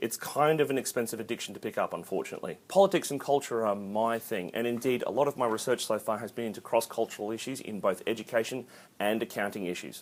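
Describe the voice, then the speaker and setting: A man's animated voice in an Australian accent at a very fast pace, very cleanly recorded against a silent background. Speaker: accounting lecturer. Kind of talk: casual vlog introduction.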